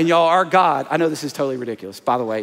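A man's fairly high voice in a Southern US accent, animated and playful in tone, with ordinary pitch variation. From US South, small-town Alabama. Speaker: pastor. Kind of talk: sermon. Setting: stage with audience. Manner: animated, playful crowd-working with comic asides mid-sermon; energetic, repetitive emphatic delivery with call-and-response. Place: church.

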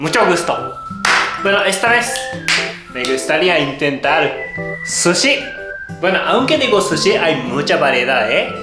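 Clear music sounds in the background as a man speaks at a fairly slow pace. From Japan. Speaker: cooking show host. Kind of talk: cooking tutorial talk to camera. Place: kitchen.

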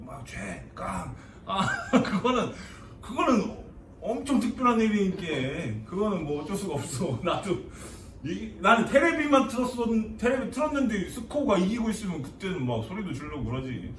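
Speaking with a Chungcheong accent, a man uses a high pitch and very wide pitch swings against noticeable background noise. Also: moderate pace. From Chungcheong Province, South Korea. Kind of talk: comedic dialect lesson.

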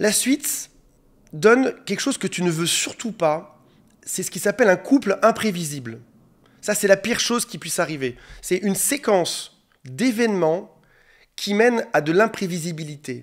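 At a moderate pace, a high-pitched man talks with lively intonation and long, frequent pauses. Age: 40s. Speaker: relationship coach. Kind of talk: monologue video advice talk. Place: home room. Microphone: studio mic.

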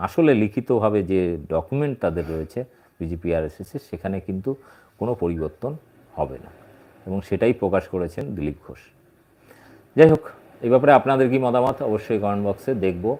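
Fairly low in pitch, a man speaks with a dark, mellow tone and very wide pitch swings. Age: 40s. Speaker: political commentator. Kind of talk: political commentary vlog. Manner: halting.

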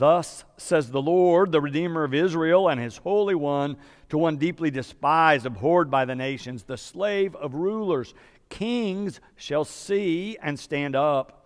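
The man's words come fairly slowly, and the background stays quiet. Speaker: minister. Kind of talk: scripture reading. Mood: solemn, measured. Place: church. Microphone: podium.

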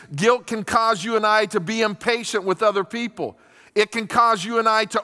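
A man speaks in a raised, projected voice with a bright, sharp tone and fairly even intonation. The background is quiet. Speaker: pastor. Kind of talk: sermon. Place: stage. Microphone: headset.

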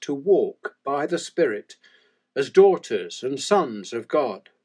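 Speaking at a very slow pace, a man delivers his words in a solemn tone. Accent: English. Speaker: church prayer leader. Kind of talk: fervent liturgical prayer with call-and-response refrains. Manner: measured, reverent cadence with solemn pauses; devout, earnest invocation of God.

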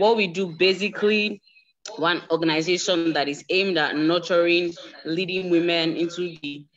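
A woman with an unremarkable speaking voice and fairly low pitch talks at a moderate pace. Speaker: conference organizer. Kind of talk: announcement.

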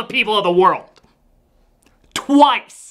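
Against a quiet background, a man speaks in a raised, projected voice. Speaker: film reviewer. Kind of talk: comedic film review commentary. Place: studio.

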